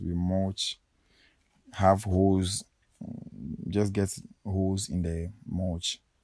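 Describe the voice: A man's low, slightly mellow voice at a slow pace, with little pitch movement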